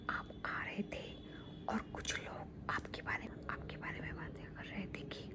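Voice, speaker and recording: The voice is a whisper. Noticeable background noise comes through as well. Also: woman. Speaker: ASMR creator. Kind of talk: ASMR roleplay talking to a friend. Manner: calming, reassuring, soft-spoken.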